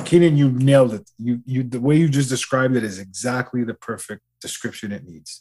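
A man's ordinary speaking voice with a Canadian accent, medium pitch and ordinary pitch variation, fairly quick with hardly any pauses and big swings in loudness. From Canada. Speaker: podcast guest, musician. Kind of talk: casual chat.

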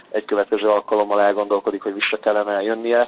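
A man's fairly low voice, very fast and monotone, with flat intonation. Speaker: professional football goalkeeper. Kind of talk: casual interview. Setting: phone call.

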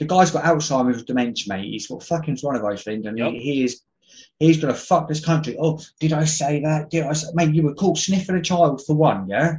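The man has an English accent and a fairly high pitch. He talks at a fairly quick pace, sounding somewhat breathy. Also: ordinary pitch variation. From England. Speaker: podcast guest. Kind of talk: casual chat. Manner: animated.

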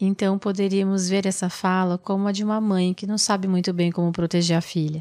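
A woman speaks at a fairly quick pace, with hardly any pauses, in a medium-pitched, dark, mellow tone. Her intonation is monotone and flat, and the very clean recording has a silent background. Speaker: mindfulness meditation teacher. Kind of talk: reflective mindfulness talk.

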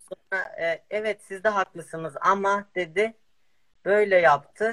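Raised and projected, a man's high-pitched, bright, sharp voice moves at a fairly slow pace with ordinary pitch variation, in a dry, close sound with no echo. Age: 20s. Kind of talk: interview.

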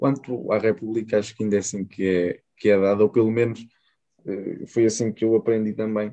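A man speaks at a fairly quick pace in a fairly low pitch, his dark, mellow tone delivered with monotone, flat intonation. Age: young. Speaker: podcast host. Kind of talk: interview.

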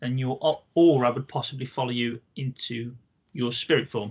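A man with an English accent talks at medium pitch. His voice is somewhat breathy. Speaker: amateur paranormal investigator. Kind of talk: casual chat. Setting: home studio.

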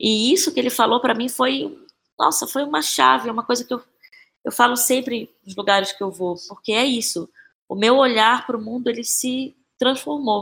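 This woman's pitch is fairly high. Her voice carries vocal fry. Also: ordinary pitch variation, moderate pace. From Brazil, Belém (Pará). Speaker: actress and playwright. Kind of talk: interview conversation.

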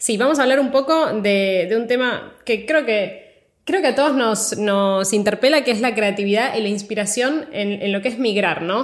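Speaking in a Rioplatense accent, a woman with fairly high pitch keeps a moderate pace and ordinary pitch variation. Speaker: podcast host. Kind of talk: interview. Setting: studio.

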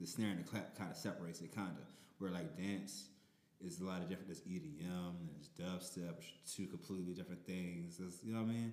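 The delivery is very fast, with fairly even intonation. Audible room echo surrounds it. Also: man, very deep, low pitch for a man. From New Orleans. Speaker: DJ and rapper. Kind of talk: casual chat.

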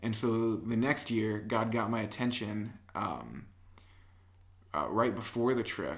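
A man speaks at a very slow pace with an American accent and vocal fry. His medium pitch follows a fairly even intonation. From US Midwest, Illinois. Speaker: app developer and worship leader. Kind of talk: casual chat. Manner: quiet, not talkative.

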